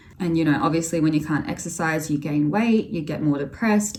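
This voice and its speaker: A woman's very deep, low-pitched voice at a fairly quick pace, with noticeable background noise. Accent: Australian. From Australia. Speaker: vlogger. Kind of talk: personal testimony vlog. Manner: casual, conversational.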